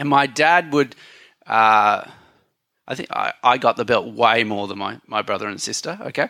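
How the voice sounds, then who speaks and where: A man with a medium pitch, vocal fry, and a bright, sharp tone speaks at a moderate pace with lively intonation and long, frequent pauses. The very clean recording has a silent background and a dry, close sound with no echo. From Thailand. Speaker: pastor. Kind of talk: sermon.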